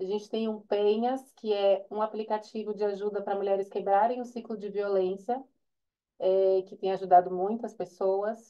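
Against a quiet background, a woman with a Brazilian accent speaks with monotone, flat intonation. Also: medium pitch for a woman, moderate pace. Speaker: data journalism manager. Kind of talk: presentation. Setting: video call. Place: home room. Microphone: earbuds.

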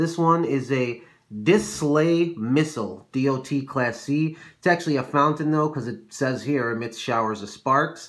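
Here a man speaks at a fairly slow pace. The background is quiet and his pitch variation is ordinary. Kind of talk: casual show-and-tell narration. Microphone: phone near.

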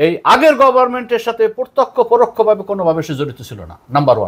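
A high-pitched man talks over a quiet background. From Bangladesh. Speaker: retired navy officer; interview guest. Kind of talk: interview. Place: studio. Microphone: lapel.

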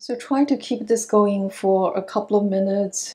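In a dark, mellow tone, a woman speaks at a fairly slow pace with ordinary pitch variation. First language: not English. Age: 60s. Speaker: yoga and qigong instructor. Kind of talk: self-care tutorial instruction. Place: home room.

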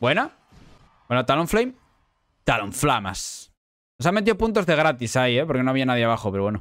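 A man with a Spanish accent speaks at a fairly quick pace in an animated tone, with very wide pitch swings and long, frequent pauses. The sound is dry with no echo, and the background is quiet. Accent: Peninsular Spanish. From Spain. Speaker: gaming youtuber and streamer; gaming youtuber, streamer. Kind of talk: gameplay commentary. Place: home room.

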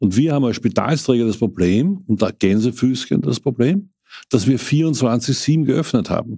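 A man's dark, mellow, medium-pitched voice, fairly slow in pace with lively intonation. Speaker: city health official. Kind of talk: interview.

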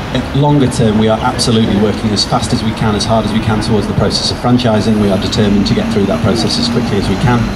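Loud background noise surrounds a man who talks at a very fast pace. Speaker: politician addressing a rally. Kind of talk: rally speech. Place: street. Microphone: handheld.

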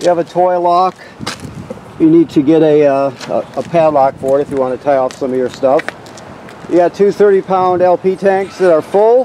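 Over light background noise, a man talks in a high-pitched voice. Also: ordinary pitch variation, moderate pace, dry sound with no echo. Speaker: RV dealer salesperson. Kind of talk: walkthrough tutorial. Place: street. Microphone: phone near.

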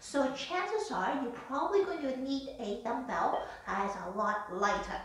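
Audible room echo surrounds a voice that moves at a moderate pace with very wide pitch swings. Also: woman. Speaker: fitness instructor. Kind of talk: live exercise demonstration with spoken instructions. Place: home room. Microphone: camera far.

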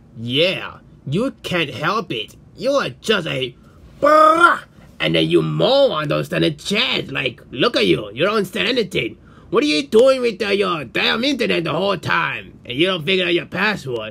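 Putting on a character voice, a man talks at a moderate pace in a high pitch. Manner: scornful, exasperated.

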